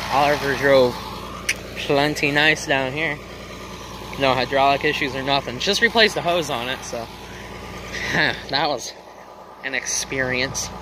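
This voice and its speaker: The speech moves at a fairly slow pace with long, frequent pauses, over noticeable background noise, in a dry sound with no echo. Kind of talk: casual vlog chat. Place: open country. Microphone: phone near.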